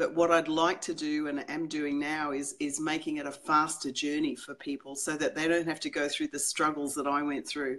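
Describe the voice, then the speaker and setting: A woman speaks in an Australian accent with a very deep, low pitch. Her delivery is monotone and flat, at a moderate pace. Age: 60s. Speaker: psychologist. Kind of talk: interview. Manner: hesitant, many fillers.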